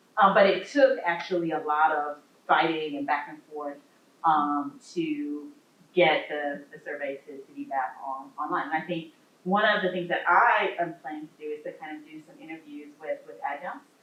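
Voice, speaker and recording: Over noticeable background noise, the voice moves at a moderate pace with ordinary pitch variation and big swings in loudness. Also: woman, very deep, low pitch for a woman. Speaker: law professor. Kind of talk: lecture; audience Q&A. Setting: library talk with audience.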